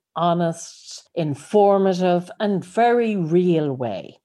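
A woman with an Irish accent speaks in a fairly low pitch with lively intonation against a quiet background. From Ireland. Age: 50s. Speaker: life coach and podcaster. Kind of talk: solo podcast monologue.

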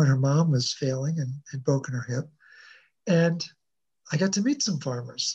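Speaking at a moderate pace, a man with a fairly high pitch sounds somewhat breathy, with a dark, mellow tone. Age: 60s. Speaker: wellness coach, mineral researcher. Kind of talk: interview, health explanation. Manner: energetic, repeats words.

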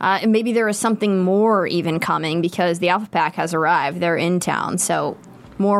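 At a moderate pace, a woman with a plain, everyday voice speaks at a fairly low pitch, with ordinary pitch variation and very even loudness. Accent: American. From Pittsburgh, US. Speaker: show host. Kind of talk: casual chat, after-show discussion. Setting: studio.

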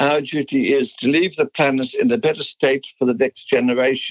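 With a Dutch accent and a fairly high pitch, a man speaks at a moderate pace in a dry, close sound with no echo. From Netherlands. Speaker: business founder. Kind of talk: interview.

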